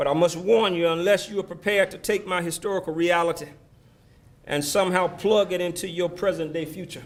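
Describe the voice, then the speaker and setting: A man speaks with an Alabama accent at a fairly quick pace, his pitch high. His intonation stays flat and monotone while his loudness swings widely. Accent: Southern US (Alabama). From US South, Selma, Alabama. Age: 60s. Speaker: former mayor, keynote speaker. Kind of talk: keynote speech. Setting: banquet hall with audience. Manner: preacherly, call-and-response.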